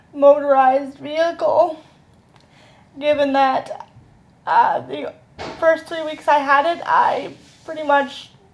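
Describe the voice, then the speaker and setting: Strained and very slow, a woman speaks at a high pitch with ordinary pitch variation. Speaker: vlogger. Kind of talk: casual chat. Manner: uneven, strained speech.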